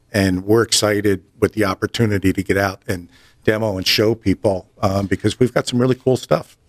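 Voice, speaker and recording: This man talks at a fairly quick pace with a fairly low pitch and a slight East Coast accent. The sound is dry and close, with no echo. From New Jersey. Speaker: audio industry sales representative. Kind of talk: casual interview.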